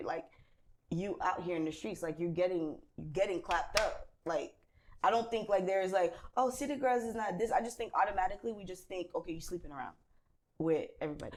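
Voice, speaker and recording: This is a woman with a Haitian accent. She talks at a fairly quick pace. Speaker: talk show host. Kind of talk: casual chat.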